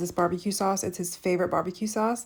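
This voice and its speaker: Upbeat in tone, a woman with a dark, mellow sound speaks at medium pitch on a very clean recording with a silent background. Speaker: cooking vlogger. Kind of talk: casual vlog tutorial. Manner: fast.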